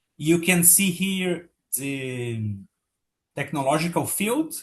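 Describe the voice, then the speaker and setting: Against a quiet background, a man with a Portuguese accent speaks at a fairly high pitch with lively intonation. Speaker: patent office official. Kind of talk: webinar presentation. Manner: halting.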